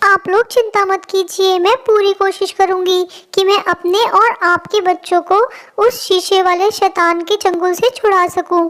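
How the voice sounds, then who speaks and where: A female-sounding, cartoonish character voice with extremely high pitch. The pace is fairly slow. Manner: emotional, earnest.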